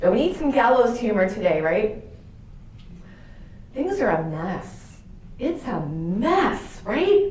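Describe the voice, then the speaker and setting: With an American accent, a woman speaks in an animated tone, her pitch swinging very widely. Audible room echo and noticeable background noise fill the recording. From Boston area, Massachusetts. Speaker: religious sister and speaker. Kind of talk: talk to an audience.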